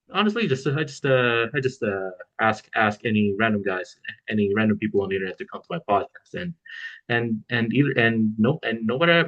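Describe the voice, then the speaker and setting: Here a man talks at a moderate pace with a medium pitch. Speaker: podcast host. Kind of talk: casual interview. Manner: halting, repeats words.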